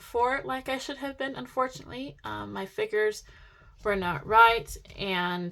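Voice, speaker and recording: A woman talks at a fairly slow pace with ordinary pitch variation and a bright, sharp tone. The recording is very clean, the background silent. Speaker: budgeting vlogger. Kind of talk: casual tutorial vlog. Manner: excited.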